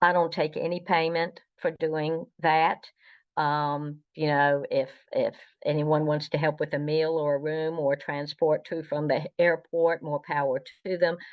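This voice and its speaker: A woman's very deep, low voice in a Southern US accent, fairly slow and monotone, with flat intonation. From US South, North Carolina. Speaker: Star Trek historian. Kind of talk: interview. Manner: halting.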